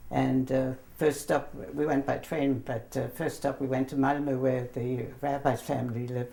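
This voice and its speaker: A woman's very deep, low voice with a German accent, flat and monotone, at a moderate pace with hardly any pauses, over noticeable background noise. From Germany. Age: 70s. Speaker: grandmother telling her life story. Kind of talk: interview, personal memories. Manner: hesitant, many fillers.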